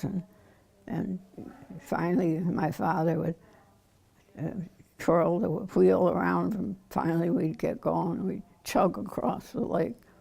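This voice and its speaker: A woman speaks at a very slow pace with long, frequent pauses and ordinary pitch variation. Her tone is dark and mellow, with vocal fry. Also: fairly low pitch for a woman. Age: 80s+. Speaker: memoirist. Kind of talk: oral history interview answer.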